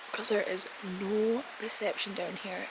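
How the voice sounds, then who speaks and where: A woman in a Scottish accent speaks in a monotone, flat intonation at a fairly slow pace amid noticeable background noise. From Scotland. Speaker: lifestyle vlogger; travel vlogger. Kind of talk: casual vlog talk to camera. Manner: speaking quietly. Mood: relaxed, chatty. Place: garden. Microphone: phone near.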